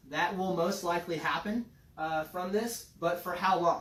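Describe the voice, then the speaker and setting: With noticeable background noise around him, a man talks in a high voice and keeps his intonation fairly even. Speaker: fitness and nutrition coach. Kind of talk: casual educational chat.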